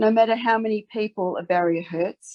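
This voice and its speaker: A woman talks at a moderate pace with a slight Australian accent. Her pitch is medium and her intonation fairly even. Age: 60s. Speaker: advocate. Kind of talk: formal submission. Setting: parliamentary select committee hearing. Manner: earnest, emphatic.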